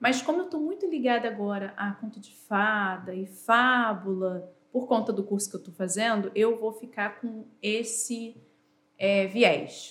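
A woman speaks at a fairly slow pace in a plain, everyday voice, fairly high in pitch, with big swings in loudness. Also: ordinary pitch variation. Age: 40s. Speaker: teacher. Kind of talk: casual chat.

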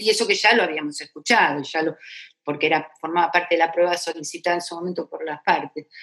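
A woman talks very fast at a fairly low pitch, with ordinary pitch variation. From Argentina, Buenos Aires area. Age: 60s. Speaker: retired federal judge. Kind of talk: interview testimony.

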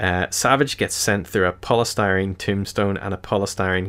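At a moderate pace, a man speaks at a very deep, low pitch. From London, England. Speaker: podcast host. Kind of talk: casual chat.

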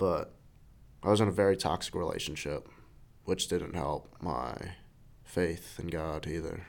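A man with an American accent and a very deep, low pitch speaks at a fairly slow pace with long, frequent pauses. His voice has vocal fry and ordinary pitch variation. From New York City. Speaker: church member sharing life story. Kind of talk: testimony.

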